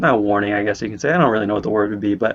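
A man talks with a West Coast American accent at a fairly low pitch. The background is quiet. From California, Bay Area. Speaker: podcast host, physical therapy student. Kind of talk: podcast monologue. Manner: casual, conversational.

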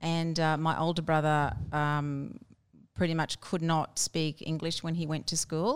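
A woman with an Australian accent speaks at a fairly slow pace in a very deep, low voice with flat, monotone intonation. The recording is very clean, with a silent background. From Brisbane, Australia. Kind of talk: interview.

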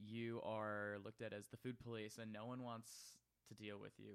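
A man with an American accent talks at a moderate pace and a fairly low pitch. He has an ordinary speaking voice. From Wisconsin, Milwaukee. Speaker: adult film performer. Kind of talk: casual interview.

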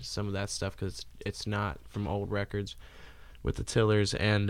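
On a very clean recording with a silent background, a man speaks at a moderate pace. He has a normal speaking voice with a fairly low pitch. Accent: American. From Cincinnati area, Ohio. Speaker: musician, singer-songwriter. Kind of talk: casual chat.

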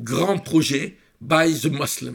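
A man at a very slow pace, in a French accent. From Egypt, Cairo. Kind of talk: interview.

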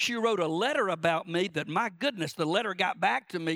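With an American accent, a man talks at a fairly quick pace in a bright, sharp tone, the sound dry and close with no echo. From South Georgia, US. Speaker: preacher. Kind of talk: sermon. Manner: fast talker.

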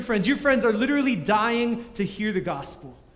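Noticeable background noise sits behind a man talking at a fairly quick pace. His pitch is high, with ordinary variation. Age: 20s. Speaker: youth pastor. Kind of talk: sermon.

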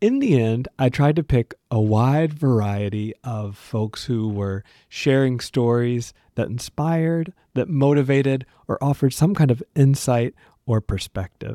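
A dark, mellow voice with an American accent, fairly slow, with ordinary pitch variation, a dry, close sound with no echo, and a very clean recording with a silent background. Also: man, medium pitch for a man. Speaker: podcast host. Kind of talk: podcast episode recap, scripted-style chat. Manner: warm, enthusiastic.

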